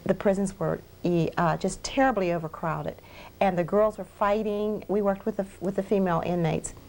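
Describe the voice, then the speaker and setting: A woman speaks at a fairly quick pace with fairly even intonation, on a very clean recording with a silent background. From Pennsylvania. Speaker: minister running addiction treatment ministry. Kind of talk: interview.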